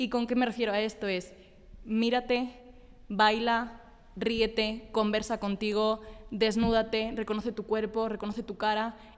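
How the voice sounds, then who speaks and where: Her pitch fairly high, a woman speaks at a fairly slow pace with flat, monotone intonation. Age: 20s. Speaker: team member. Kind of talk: casual group chat.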